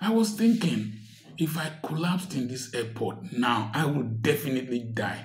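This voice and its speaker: His pitch rises and falls across a very wide range. The man keeps a moderate pace. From Nigeria. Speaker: doctor and commentator; commentator. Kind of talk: social commentary monologue. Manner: animated. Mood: earnest, complaining about hardship. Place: home room. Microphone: phone near.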